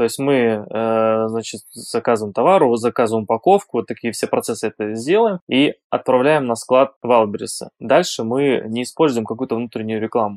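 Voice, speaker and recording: A normal speaking voice moves at a moderate pace with ordinary pitch variation and hardly any pauses, recorded dry and close with no echo. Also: man, medium pitch for a man. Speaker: online seller. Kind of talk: interview.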